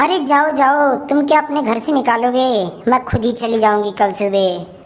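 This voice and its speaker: A woman puts on a character voice at a high pitch, moderate in pace and very even in loudness, over light background noise. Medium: audio drama.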